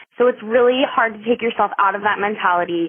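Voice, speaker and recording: At a fairly quick pace, a woman talks in an ordinary speaking voice with ordinary pitch variation. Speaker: waitress, server.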